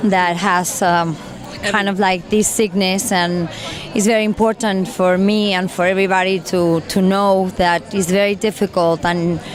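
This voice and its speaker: With music playing in the background, a woman speaks at a medium pitch and a moderate pace with a Spanish accent. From Mexico City. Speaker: event guest. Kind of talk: red-carpet interview. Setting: gala event. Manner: animated; halting, with fillers.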